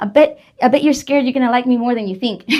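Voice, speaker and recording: This very clean recording has a silent background. The woman speaking has a high pitch. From Southeast Texas (Vidor). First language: Spanish. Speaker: political candidate. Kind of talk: interview.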